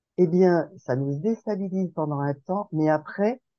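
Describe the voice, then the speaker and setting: Speaking at a very slow pace, a woman uses lively intonation and a fairly low pitch in a dark, mellow tone, with a dry, close sound and no echo. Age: 60s. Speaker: participant in a sharing group. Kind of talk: group sharing session. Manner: hesitant, many fillers.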